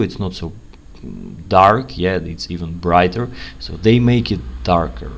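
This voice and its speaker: A man with a non-native accent speaks at a very deep, low pitch with very wide pitch swings. Room echo is audible, and background noise is noticeable. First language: not English. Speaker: UX analyst, channel host. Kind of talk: tutorial, screen-share commentary. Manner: casual, conversational.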